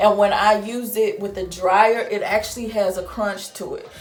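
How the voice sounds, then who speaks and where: A woman's fairly high voice with a Southern US accent, audible room echo and music playing behind her. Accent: Southern drawl, sounds Texan to viewers. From St. Louis, Missouri (US Midwest, Southern culture). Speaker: beauty vlogger. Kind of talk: product review tutorial. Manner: casual, chatty.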